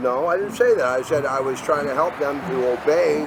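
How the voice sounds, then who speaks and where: Through noticeable background noise, a man keeps to a moderate pace. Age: 60s. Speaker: homeless man interviewed on the street. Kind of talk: street interview. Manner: argumentative, interrupting.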